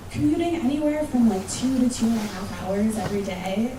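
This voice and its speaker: Noticeable background noise and audible room echo surround this recording. The woman speaking has a fairly high pitch and an American accent. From United States. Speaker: conference speaker. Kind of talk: conference talk. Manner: casual, conversational.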